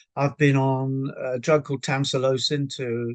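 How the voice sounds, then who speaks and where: A fairly slow delivery in an English accent. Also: man. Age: 70s. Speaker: patient. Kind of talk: testimony. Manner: halting, many fillers.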